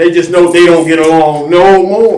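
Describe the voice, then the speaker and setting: A man talks over noticeable background noise, and the room echo is audible. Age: 60s. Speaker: elder and teacher. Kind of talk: religious teaching chat.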